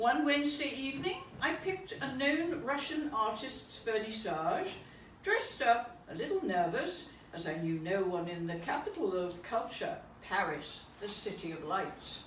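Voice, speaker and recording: Speaking at a moderate pace with an English accent, a woman with a fairly high pitch and very wide pitch swings comes through audible room echo and noticeable background noise. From England. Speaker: poet. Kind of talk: reading aloud. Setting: private salon with audience.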